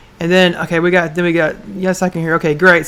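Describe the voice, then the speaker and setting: A woman speaks at medium pitch in a Southern US accent. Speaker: online business show host. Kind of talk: live stream chat. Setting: livestream. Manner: fast; loud.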